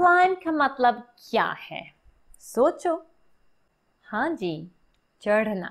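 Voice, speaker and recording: Against a quiet background, a woman speaks very slowly in a high voice with very wide pitch swings and long, frequent pauses. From Australia. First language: English (speaking Hindi). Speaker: English teacher and Hindi learner; English teacher. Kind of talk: tutorial. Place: home room. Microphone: phone near.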